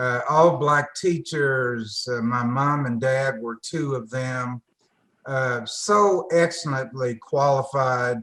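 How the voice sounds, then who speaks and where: A man's medium-pitched voice, bright and sharp in tone, at a very slow pace with ordinary pitch variation. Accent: Tennessee. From US South, northwest Tennessee. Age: 70s. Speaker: retired engineer, foundation board member. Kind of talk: interview.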